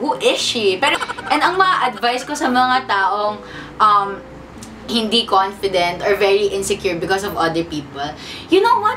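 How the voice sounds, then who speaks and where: The speaker sounds animated, with lively intonation at a moderate pace. Background noise is noticeable. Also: woman, medium pitch for a woman. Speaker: YouTuber, vlogger. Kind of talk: casual sit-down talk to camera. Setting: seated in front of camera.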